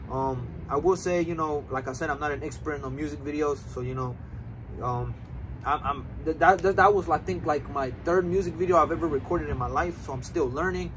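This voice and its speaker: A man speaks at a fairly quick pace with ordinary pitch variation. Light background noise can be heard. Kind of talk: casual vlog chat. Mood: relaxed, friendly. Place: street. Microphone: camera far.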